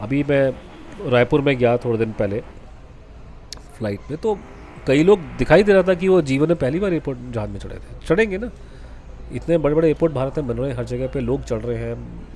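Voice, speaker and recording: Noticeable background noise sits behind a man speaking at a moderate pace. He takes long, frequent pauses. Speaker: vlogger. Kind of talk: travel vlog voice-over. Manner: casual, halting with self-corrections.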